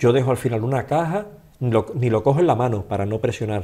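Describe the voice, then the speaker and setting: Speaking in an Andalusian accent, a man has a dark, mellow, somewhat breathy tone. His pitch varies in an ordinary way. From Andalusia, Seville. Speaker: holistic therapist, former teacher; former teacher. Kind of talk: interview. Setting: studio. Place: studio. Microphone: studio mic.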